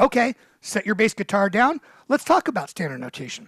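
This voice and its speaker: At a fairly quick pace, a man speaks in a high pitch, recorded dry with no echo against a quiet background. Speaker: bass guitar teacher. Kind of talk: tutorial. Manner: fast; conversational. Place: studio. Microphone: headset.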